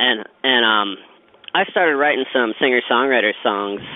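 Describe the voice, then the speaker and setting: Using a plain, everyday voice, a man of medium pitch with an American accent speaks at a moderate pace. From Pittsburgh, Pennsylvania (South Hills). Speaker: singer-songwriter. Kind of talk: interview.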